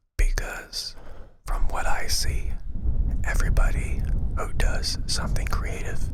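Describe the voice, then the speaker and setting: Whispering with long, frequent pauses against noticeable background noise. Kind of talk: ASMR talk to camera, rambling comedic monologue. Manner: casual, humorous, animated.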